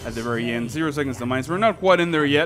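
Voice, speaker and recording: A man speaks over noticeable background noise. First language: Spanish. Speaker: gaming YouTuber. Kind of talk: gameplay commentary. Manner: casual, many fillers.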